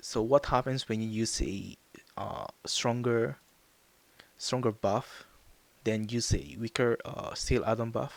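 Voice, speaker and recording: With a Japanese accent, a man speaks at a very slow pace, leaving long, frequent pauses and keeping his intonation fairly even. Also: medium pitch for a man. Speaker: gaming YouTuber. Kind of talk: game tutorial. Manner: halting, many fillers.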